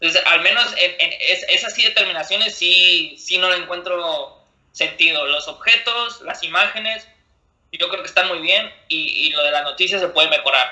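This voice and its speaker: A man with a high pitch talks at a moderate speed, his pitch varying in an ordinary way. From Monterrey, northern Mexico. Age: 20s. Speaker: freestyle rapper. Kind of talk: casual interview. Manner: halting, with many repetitions and fillers.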